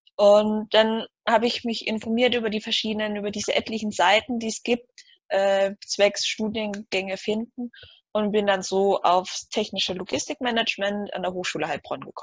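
A woman with a fairly high pitch uses an ordinary speaking voice at a moderate pace, her intonation fairly even and the sound dry and close with no echo. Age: 20s. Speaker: student. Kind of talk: interview.

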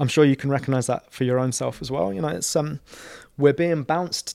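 A man with a London accent and ordinary pitch variation. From London (Camden Town). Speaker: community organiser. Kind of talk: interview conversation.

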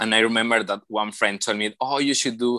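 With a Mexican accent, a man speaks at a medium pitch with ordinary pitch variation and a bright, sharp tone, the sound dry and close with no echo over a quiet background. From Mexico. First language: Spanish. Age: 20s. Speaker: engineer and photographer. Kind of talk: interview. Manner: halting.

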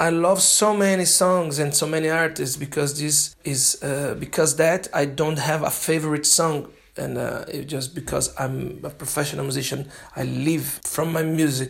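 Fairly even intonation runs through a man's fairly high voice. He talks at a moderate pace. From Brazil. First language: Portuguese. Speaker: jazz drummer and language student. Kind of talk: prepared self-recorded monologue. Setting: self-made recording sent in. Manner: halting.

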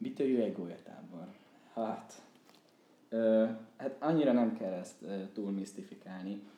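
Speaking at a fairly slow pace with long, frequent pauses, a man has a medium pitch and a dark, mellow tone. His pitch varies in an ordinary way, with audible room echo around him. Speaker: PhD student and former student organizer. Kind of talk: casual interview chat.

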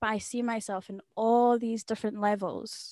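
A woman speaks in a Scottish accent with monotone, flat intonation. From Scotland. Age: 20s. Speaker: podcast co-host. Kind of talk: interview.

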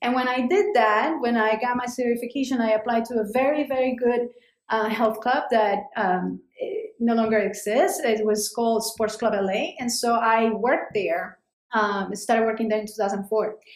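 With a Spanish accent, a woman talks at a moderate pace and a fairly high pitch, keeping her intonation fairly even. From Colombia, Cali. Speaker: immigrant sharing life story. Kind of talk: interview. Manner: halting, many repetitions.

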